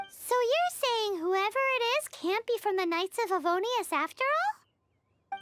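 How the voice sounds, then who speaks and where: A put-on character voice, squeaky and extremely high, moves at a fairly slow pace with hardly any pauses. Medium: video game. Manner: chatty, excitable.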